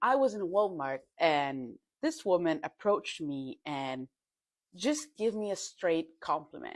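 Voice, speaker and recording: In a very clean recording with a silent background, a woman with a fairly low voice and an Italian accent speaks with lively intonation. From Italy, Milan. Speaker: content creator. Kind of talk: casual social media monologue.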